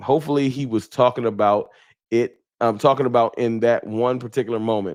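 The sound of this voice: A man speaks at a fairly quick pace in a medium pitch. His tone is slightly mellow, with ordinary pitch variation.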